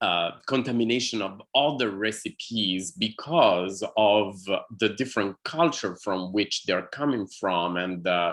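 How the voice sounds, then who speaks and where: Speaking at a fairly slow pace, a man uses a fairly low pitch with ordinary variation. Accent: Italian. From Italy. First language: Italian. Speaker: artist in conversation. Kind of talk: one-on-one conversation. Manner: halting, many fillers.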